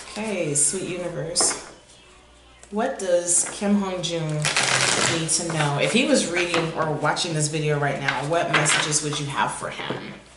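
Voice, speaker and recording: In a room with audible echo and noticeable background noise, a woman speaks fairly slowly at a fairly low pitch with ordinary variation. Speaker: tarot reader. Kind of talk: intuitive tarot reading. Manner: occasional stammering.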